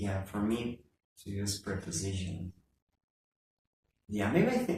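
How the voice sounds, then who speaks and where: A man speaks at a fairly slow pace in a somewhat breathy voice with a dark, mellow tone. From Ecuador. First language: Spanish. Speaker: language school teacher. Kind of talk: casual chat. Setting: classroom. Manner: halting.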